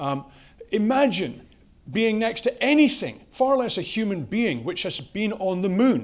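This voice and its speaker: A man speaks in an animated tone with a European accent, and audible room echo surrounds his voice. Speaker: company CEO, conference speaker. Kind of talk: conference talk.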